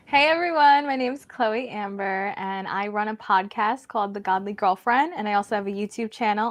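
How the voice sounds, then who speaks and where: A plain, everyday voice from a woman, fairly high in pitch, with lively intonation at a moderate pace, dry and close with no echo against a quiet background. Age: 20s. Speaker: faith relationship podcaster. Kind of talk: casual chat.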